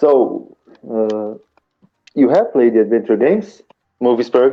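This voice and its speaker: A man with a non-native accent, medium-pitched, at a fairly slow pace. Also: lively intonation. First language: not English. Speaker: podcast participant, gamer. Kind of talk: casual group chat. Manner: halting, many restarts.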